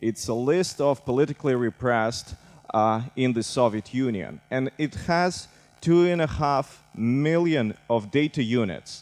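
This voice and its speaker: A man speaks fairly slowly at medium pitch with ordinary pitch variation and very even loudness. The sound is dry and close with no echo, over a quiet background. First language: Russian. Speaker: civic tech director. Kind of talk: conference talk.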